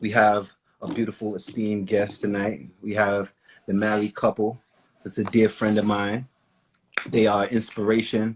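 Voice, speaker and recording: A man's fairly low voice at a moderate pace, monotone and flat, with long, frequent pauses. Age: 30s. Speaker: podcast co-host. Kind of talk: casual chat. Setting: Instagram live broadcast.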